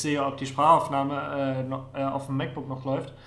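Speech comes at a moderate pace with monotone, flat intonation. Audible room echo surrounds it. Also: man. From Mecklenburg-Vorpommern, Neustrelitz. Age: 30s. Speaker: podcast co-host. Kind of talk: casual chat.

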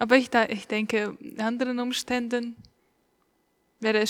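A woman with a fairly high pitch speaks at a moderate pace and fairly even intonation on a very clean recording with a silent background. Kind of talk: casual chat.

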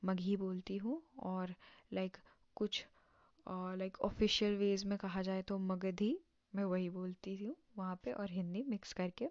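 A woman's voice at medium pitch, with fairly even intonation and long, frequent pauses. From Bihar, India (early childhood in Assam). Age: young. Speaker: podcaster, recent school graduate. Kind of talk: casual personal monologue. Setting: home recording at night, no setup. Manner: halting, many fillers.

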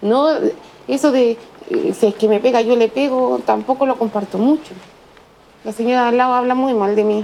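Spoken in a Chilean accent at a moderate pace, the voice has long, frequent pauses and ordinary pitch variation over noticeable background noise. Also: woman, high pitch for a woman. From Chile, Valparaíso. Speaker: single mother, fortune teller. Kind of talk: interview testimony.

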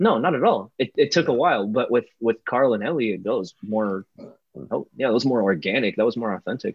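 In a plain, everyday voice, a man speaks at a medium pitch and a fairly quick pace with lively intonation. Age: 20s. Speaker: podcast co-host. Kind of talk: casual chat.

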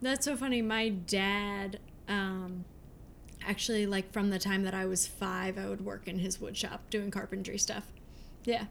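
Her voice is a plain, everyday voice, a woman at medium pitch with fairly even intonation. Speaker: pastry chef. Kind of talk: interview. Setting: studio.

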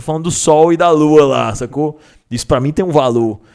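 The speaker is a man with an ordinary speaking voice, fairly high for a man. He talks at a fairly quick pace. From Federal District, Brazil. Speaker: battle rapper. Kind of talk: casual chat.

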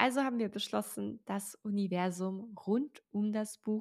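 A woman's medium-pitched voice at a very slow pace, with ordinary pitch variation and a dry, close sound without echo. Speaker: podcast host and author. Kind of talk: solo podcast monologue.

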